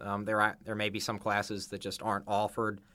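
A bright, sharp tone with an American accent. The intonation stays flat and monotone over a silent background in a very clean recording. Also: man. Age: young. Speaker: student. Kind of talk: podcast interview.

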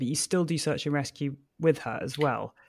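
Against a silent background in a very clean recording, a man speaks with a British accent. His pitch is fairly high. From Britain. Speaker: podcast host and gundog trainer. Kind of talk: scripted introduction; interview.

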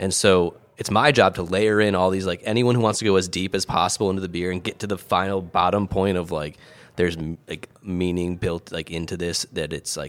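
Speaking at a fairly quick pace, a man with a very deep, low pitch keeps his intonation fairly even. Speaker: podcast co-host. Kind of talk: casual chat. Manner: joking, banter.

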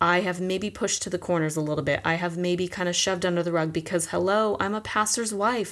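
Animated in tone, a woman with an American accent talks at a very fast pace with hardly any pauses. Her loudness stays very even in a very clean recording with a silent background. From Southern California. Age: 30s. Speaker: podcast host. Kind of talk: casual monologue.

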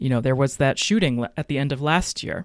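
A man's voice in a very clean recording, dry and close with no echo, against a silent background. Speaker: podcast host. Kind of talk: solo podcast monologue, reading an article and commentary.

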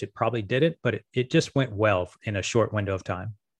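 Against a quiet background, a man speaks very fast in an American accent. His pitch is fairly low, with ordinary variation. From Las Vegas, Nevada. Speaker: marketing agency co-founder. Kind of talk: interview. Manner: halting.

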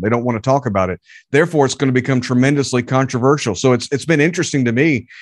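A man with a Southern US accent talks at a very fast pace, with medium pitch and ordinary pitch variation. The background is quiet. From North Carolina (Charlotte area). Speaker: preacher. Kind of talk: sermon; interview.

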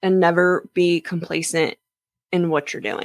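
A woman with an American accent, fairly low in pitch, in an unremarkable speaking voice with ordinary pitch variation, dry and close with no echo, on a very clean recording with a silent background. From Jacksonville, Florida. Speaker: athletic trainer. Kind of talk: interview.

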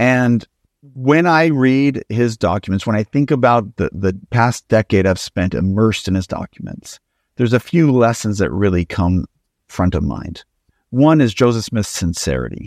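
In a plain, everyday voice, a man speaks with an American accent at medium pitch and a moderate pace with lively intonation. The recording is very clean with a silent background and a dry, close sound with no echo. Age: 40s. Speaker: historian and author. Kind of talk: interview.

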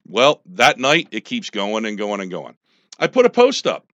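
A loud man with an American accent, very wide pitch swings, and a moderate pace. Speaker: army veteran and former political candidate. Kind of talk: radio interview. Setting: radio studio.

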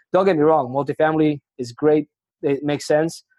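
A man with a Spanish accent has a fairly high pitch and a dark, mellow tone. He speaks in a flat monotone, with a dry, close sound and no echo. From Argentina. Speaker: retail real estate investor. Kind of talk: casual interview conversation. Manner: casual, profane, filler-heavy.

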